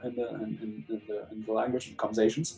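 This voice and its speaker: Over background music, a man talks at a fairly quick pace. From Germany, then Eritrea from the nineties. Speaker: founder of an Eritrean music social media channel. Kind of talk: interview. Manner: halting, many repetitions.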